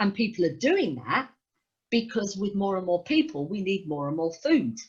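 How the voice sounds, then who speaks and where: A woman speaks with a London accent at a medium pitch, sounding somewhat breathy. Her pitch swings very widely. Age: 60s. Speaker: rock musician. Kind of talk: interview.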